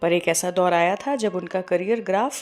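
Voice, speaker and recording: A woman's voice over music in the background. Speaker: radio show host. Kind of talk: radio show presenter narration.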